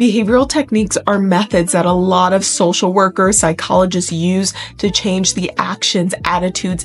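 Over light background noise, a woman speaks at a moderate pace with ordinary pitch variation. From US Midwest. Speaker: fitness youtuber. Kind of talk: talking-head tutorial. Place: home room.

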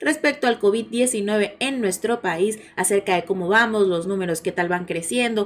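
The delivery moves at a fairly slow pace, with ordinary pitch variation. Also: woman. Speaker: news channel host. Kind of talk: casual news commentary.

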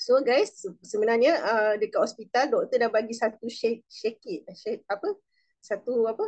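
The background stays quiet. A woman talks at a moderate pace. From Malaysia. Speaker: direct sales supervisor. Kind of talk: testimony. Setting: video call. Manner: animated. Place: home room. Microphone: video call.

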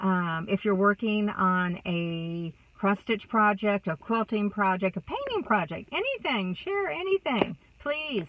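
Speaking at a very slow pace with a Texas accent, a woman is heard in dry sound with no echo, with noticeable background noise. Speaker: vlogger. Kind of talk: casual vlog monologue. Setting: in a car. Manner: chatty, warm. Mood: warm, upbeat, encouraging. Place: car. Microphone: phone near.

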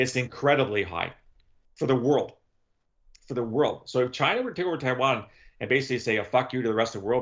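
Over a quiet background, a man talks at a very fast pace with fairly even intonation. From Canada. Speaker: former intelligence analyst and author; former intelligence analyst. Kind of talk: casual chat. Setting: video call. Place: home room. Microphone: video call.

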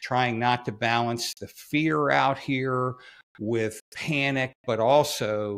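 This is a man talking. His intonation stays fairly even. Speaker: former federal agent commentator. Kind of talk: commentary. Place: home room. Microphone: studio mic.

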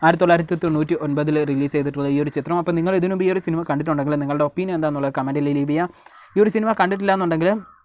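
A plain, everyday voice from a man, pitched fairly high, its intonation fairly even. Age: 20s. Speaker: YouTuber, movie reviewer. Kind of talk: vlog-style movie recommendations.

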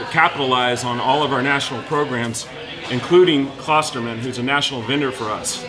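There is noticeable background noise as a man talks at a fairly quick pace with fairly even intonation. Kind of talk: promotional talk to camera. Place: cafe.

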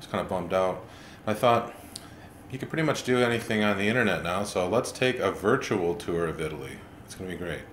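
Over light background noise and audible room echo, a man speaks at a fairly quick pace. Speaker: comic vlogger. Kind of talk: casual comedic monologue. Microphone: webcam.

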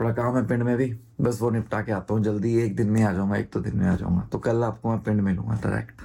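A man at a fairly quick pace and fairly low pitch, with a dark, mellow tone, very even loudness and a monotone, flat intonation. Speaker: travel vlogger. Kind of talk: casual vlog talk to camera.

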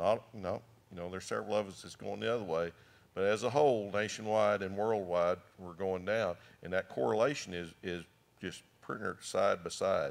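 With an American accent, a man uses a normal speaking voice, fairly low in pitch with ordinary pitch variation, moving at a fairly quick pace with big swings in loudness. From western Oklahoma. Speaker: farmer and rancher; panelist. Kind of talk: panel discussion. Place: hall. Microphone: handheld.

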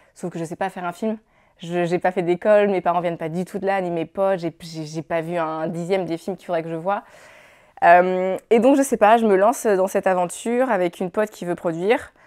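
A woman talks at a fairly quick pace with ordinary pitch variation. Her loudness swings widely against a quiet background. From France. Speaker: film director. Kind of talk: interview. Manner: halting. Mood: relaxed, animated. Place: studio. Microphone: lapel.

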